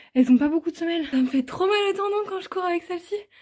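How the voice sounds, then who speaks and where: A woman races along at a very fast pace with lively intonation. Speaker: vlogger. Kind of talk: casual vlog. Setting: outdoors walking home. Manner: animated.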